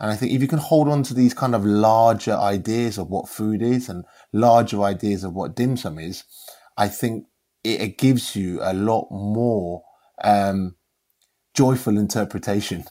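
The recording is very clean, with a silent background. A man with a London accent speaks at a fairly low pitch. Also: ordinary pitch variation, moderate pace. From London, England. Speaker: chef. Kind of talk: casual chat. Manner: halting.

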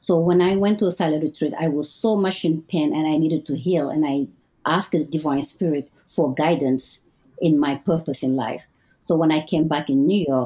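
A woman with a French accent talks at a moderate pace in a very deep, low pitch. Her pitch varies in an ordinary way and her loudness stays very even. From Mauritania. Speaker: restaurant chef and owner. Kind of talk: casual interview chat.

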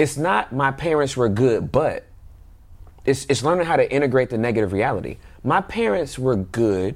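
A man talks with a normal speaking voice at a medium pitch. His pace is moderate and his intonation lively. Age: 40s. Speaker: parent guest. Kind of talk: casual chat.

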